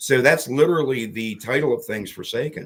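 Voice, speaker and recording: Moving at a moderate pace, the man shows ordinary pitch variation. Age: 60s. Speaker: artist and horror filmmaker. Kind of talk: interview. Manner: halting, many fillers.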